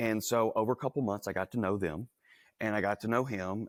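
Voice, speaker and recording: Speaking fairly quickly with a Southern US accent, a man uses a fairly low pitch and ordinary pitch variation, and the recording is very clean, dry and close, with a silent background and no echo. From US South, Louisiana. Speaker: entrepreneur. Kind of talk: interview. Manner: casual, conversational.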